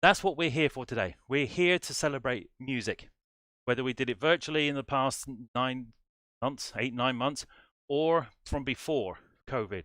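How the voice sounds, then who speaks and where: This voice has an English accent and a bright, sharp tone. It moves at a moderate pace with ordinary pitch variation, on a very clean recording with a silent background. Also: man, medium pitch for a man. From England. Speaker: music society director and band conductor. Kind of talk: livestream introduction. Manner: animated.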